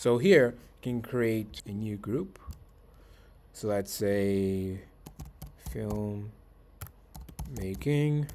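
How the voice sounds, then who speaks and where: Speaking at a very slow pace with long, frequent pauses, a man uses a fairly low, dark, mellow voice with ordinary pitch variation. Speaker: author and content creator for artists. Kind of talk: software tutorial walkthrough.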